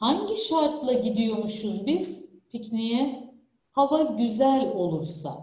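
A woman speaks at a very slow pace in a dark, mellow tone, with a quiet background and audible room echo. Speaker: teacher. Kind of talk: online lesson lecture. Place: home room. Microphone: webcam.

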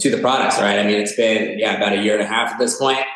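Audible room echo surrounds a man whose fairly low voice holds a flat monotone. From Los Angeles, California. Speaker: spirits brand founder. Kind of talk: casual interview.

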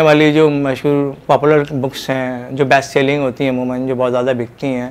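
In a Pakistani accent, a man speaks at a fairly high pitch with monotone, flat intonation. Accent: Pakistani Urdu. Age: 40s. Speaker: author and translator. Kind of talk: interview monologue; interview answer. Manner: halting. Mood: calm, reflective. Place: home room. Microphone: lapel.

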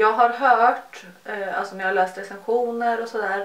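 The intonation stays fairly even. A woman is talking, and room echo can be heard. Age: 20s. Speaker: beauty YouTuber. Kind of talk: casual chat. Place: home room. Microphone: phone near.

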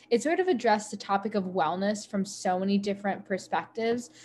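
A woman with an American accent at a moderate pace, with ordinary pitch variation and light background noise. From Ohio, US (Sylvania); Ohio. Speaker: college student. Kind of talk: casual Q&A panel; panel answer on a video call. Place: home room. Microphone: video call.

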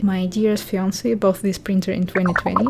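A woman speaks with a Russian accent. Background noise is noticeable. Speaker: illustrator and 2d animator. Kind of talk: tutorial voice-over.

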